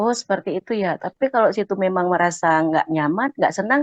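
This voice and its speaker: In a Sumatran accent, a woman speaks at a moderate pace and medium pitch with lively intonation, and the sound is dry and close with no echo. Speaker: Quran study participant. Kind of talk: personal story in a study group.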